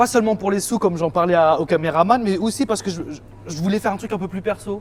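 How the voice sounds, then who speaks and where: Very fast pace with ordinary pitch variation. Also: man, high pitch for a man. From Île-de-France, France (Val-de-Marne). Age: 30s. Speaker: music producer and DJ. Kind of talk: casual interview. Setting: in a shop. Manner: casual, hesitant with fillers.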